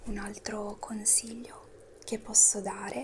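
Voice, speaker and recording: Soft-spoken, a woman whispers over noticeable background noise. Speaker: ASMR creator. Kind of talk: ASMR motivational talk. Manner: whispered, soft-spoken. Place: home room. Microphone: lapel.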